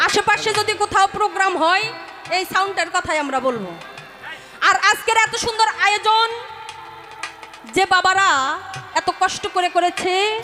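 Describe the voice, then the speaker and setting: A woman speaks in a raised, projected voice at an extremely high pitch. Music plays in the background. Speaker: folk singer. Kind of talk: stage address to a live audience.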